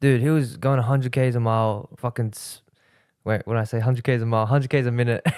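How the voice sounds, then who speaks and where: A man with an Australian accent speaks very fast at a medium pitch, his intonation fairly even. His loudness swings widely in a very clean recording with a silent background. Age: 19. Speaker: social media marketing entrepreneur. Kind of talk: casual podcast interview.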